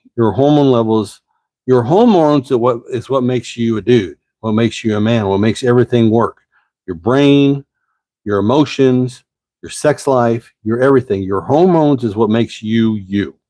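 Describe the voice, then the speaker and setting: Against a quiet background, the voice moves at a moderate pace with a dark, mellow tone and ordinary pitch variation. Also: man. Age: 50s. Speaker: advice channel host. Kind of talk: live stream chat. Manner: casual; slurred.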